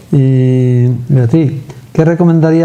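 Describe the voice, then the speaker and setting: Noticeable background noise beneath a man speaking with fairly even intonation. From Andalusia. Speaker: TV interviewer. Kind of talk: interview.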